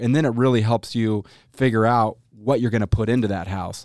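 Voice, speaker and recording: Recorded very cleanly, with a silent background and a dry, close sound with no echo, a man with an American accent and an unremarkable speaking voice talks at a fairly quick pace, medium pitch and fairly even intonation. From Boise, Idaho. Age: 40s. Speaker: house flipper and TV show co-creator. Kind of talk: casual chat. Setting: studio.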